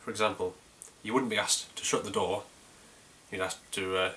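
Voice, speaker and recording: Noticeable background noise behind a man talking fairly quickly. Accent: North Yorkshire. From North Yorkshire, England. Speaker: beer reviewer. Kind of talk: casual video review. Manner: hesitant, many fillers.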